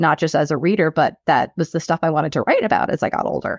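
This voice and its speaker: With a slight New York accent, a woman talks at a fairly quick pace and a fairly low pitch, recorded dry and close with no echo against a quiet background. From US New York, Long Island South Shore. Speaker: author. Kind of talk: casual interview chat. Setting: video call.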